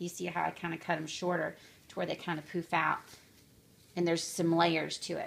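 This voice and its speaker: A woman speaks at a fairly quick pace and a fairly low pitch, with vocal fry and monotone, flat intonation. She leaves long, frequent pauses. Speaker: crafter making clothes for her children. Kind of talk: tutorial. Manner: fast; casual with many fillers.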